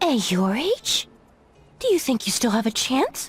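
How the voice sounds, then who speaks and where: A put-on character voice, female-sounding, with high pitch for a woman and a moderate pace. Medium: video game.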